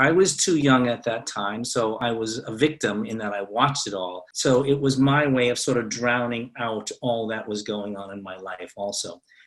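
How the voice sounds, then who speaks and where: Amid noticeable background noise, the speech runs at a moderate pace with hardly any pauses, big swings in loudness and ordinary pitch variation. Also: man, medium pitch for a man. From US Northeast, Boston. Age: 60s. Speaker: fight choreographer. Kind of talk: interview. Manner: animated.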